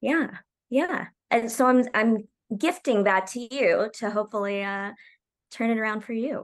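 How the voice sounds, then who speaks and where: In an American accent, a woman with a normal speaking voice talks at a fairly slow pace and a fairly high pitch. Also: ordinary pitch variation. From Oklahoma, US. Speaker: TV comedy writer. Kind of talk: casual interview chat. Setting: video call. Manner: laughs often.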